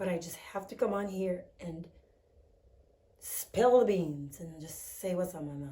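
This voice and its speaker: A woman with a medium pitch talks at a fairly slow pace, somewhat breathy, with ordinary pitch variation, big swings in loudness, long and frequent pauses, and audible room echo. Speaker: vlogger. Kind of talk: vlog monologue. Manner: animated.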